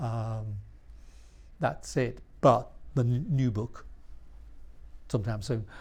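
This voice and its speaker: The voice is somewhat breathy, moving at a very slow pace with long, frequent pauses and ordinary pitch variation. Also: man, medium pitch for a man. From northern England, Yorkshire (York). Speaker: author and illustrator. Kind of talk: interview at a live talk. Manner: halting, many restarts.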